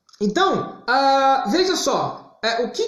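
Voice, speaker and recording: A loud voice with very wide pitch swings and audible room echo. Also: man. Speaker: therapist / psychology teacher. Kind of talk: live-stream talk to viewers. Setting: live stream on Instagram. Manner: loud, emphatic.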